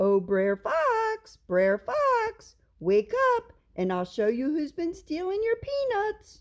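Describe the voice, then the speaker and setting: Using a put-on character voice, a woman speaks at a fairly slow pace in a squeaky, extremely high pitch. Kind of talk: Southern folktale storytelling. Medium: read story. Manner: sly, persuasive.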